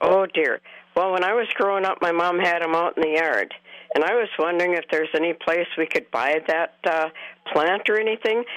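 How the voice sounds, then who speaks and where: A woman talks in a normal speaking voice, fairly low in pitch and at a fairly quick pace. Her loudness is very even, and her pitch variation is ordinary. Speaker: caller. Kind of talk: radio call-in. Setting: phone call.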